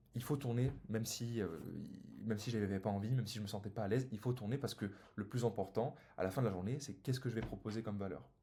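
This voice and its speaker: Somewhat breathy and dark, mellow in tone, a man of medium pitch talks at a very fast pace with ordinary pitch variation. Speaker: business coach for solopreneurs. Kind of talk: sales pitch; tutorial.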